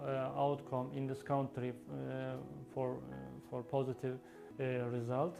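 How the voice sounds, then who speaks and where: A man with a Turkish accent. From Turkey. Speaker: refugee, former lecturer. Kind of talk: testimony. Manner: halting, many hesitations.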